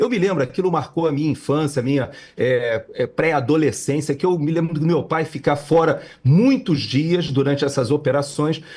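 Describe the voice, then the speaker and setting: A man speaks in a fairly high, somewhat breathy voice at a very even loudness. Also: ordinary pitch variation, moderate pace. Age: 60s. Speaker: political commentator. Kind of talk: political commentary chat. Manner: halting with many fillers.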